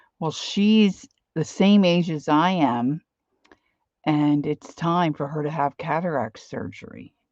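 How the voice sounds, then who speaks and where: A woman talks with a Philadelphia accent. The sound is dry with no echo, over a quiet background. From Philadelphia area, US. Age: 60s. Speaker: craft and art livestreamer; art livestreamer. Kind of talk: casual live-stream chat while crafting. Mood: relaxed, chatty.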